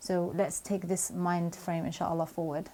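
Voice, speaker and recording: A woman speaks in a British accent at a fairly low pitch with a dark, mellow tone. Her intonation stays monotone and flat. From UK. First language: not Arabic. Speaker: Quran memorization coach. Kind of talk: Q&A video answering viewer questions.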